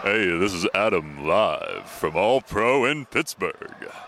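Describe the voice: At a fairly slow pace, a man speaks in a medium-pitched, put-on character voice.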